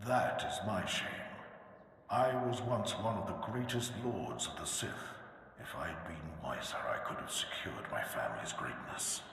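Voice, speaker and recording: A man speaks in a put-on character voice at a medium pitch. His moderate pace carries a strong echo. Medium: machinima. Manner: archaic, solemn.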